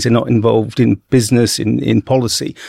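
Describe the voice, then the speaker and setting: A man with a southern English accent is heard in a dry, close recording with no echo. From central England (Bedford). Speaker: marine zoology professor. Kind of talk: interview.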